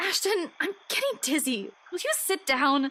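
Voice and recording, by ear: A woman puts on a character voice with a high pitch and a bright, sharp tone. She keeps a moderate pace while making big pitch swings.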